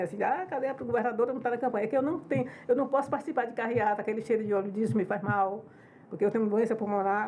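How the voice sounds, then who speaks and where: A woman speaks very fast at a fairly high pitch. Her intonation is lively. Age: 70s. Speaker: politician, former state governor. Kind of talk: podcast interview. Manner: conversational, informal.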